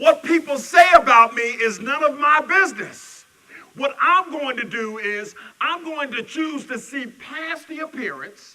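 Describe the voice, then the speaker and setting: His tone bright and sharp, a man speaks in a raised, projected voice at a fairly slow pace with ordinary pitch variation. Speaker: minister. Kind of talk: sermon. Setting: church service. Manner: loud.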